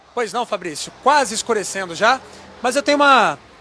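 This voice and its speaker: A man's lively intonation rises over noticeable background noise. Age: 30s. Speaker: field reporter. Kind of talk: live field report. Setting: outdoors.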